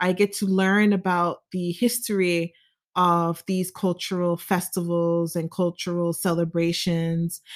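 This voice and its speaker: The speaker has an American accent, and the recording is very clean with a silent background. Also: woman. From US, Nigerian American family. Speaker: podcast host. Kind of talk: solo podcast monologue. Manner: expressive.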